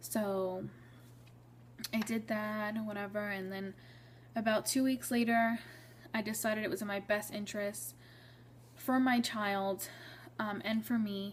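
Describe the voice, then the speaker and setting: Somewhat breathy and medium in pitch, a woman speaks at a fairly slow pace with ordinary pitch variation and long, frequent pauses. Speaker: vlogger sharing pregnancy story. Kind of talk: personal storytelling vlog.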